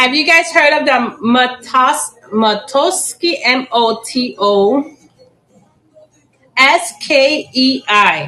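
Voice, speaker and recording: Very slow and very even in loudness, a woman's raised, projected voice sits high in pitch with lively intonation. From Chicago, raised by Puerto Rican family; later Puerto Rico. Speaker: plant seller and teacher. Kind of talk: live-stream sales auction. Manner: casual, chatty.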